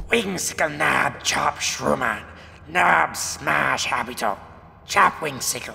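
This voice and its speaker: Putting on a character voice, a man speaks at a fairly slow pace in a medium pitch, with clear background noise behind him. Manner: aggressive, threatening.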